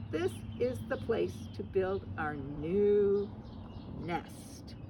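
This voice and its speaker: A put-on character voice at a middle pitch and a very slow pace, over loud background noise. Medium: read story.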